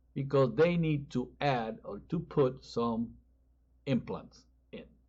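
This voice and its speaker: A man with a strong Spanish accent speaks at a very slow pace in a fairly high, somewhat breathy voice. His intonation is lively and his loudness swings widely. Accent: Spanish accent, increasingly strong. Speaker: pastor. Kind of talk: sermon.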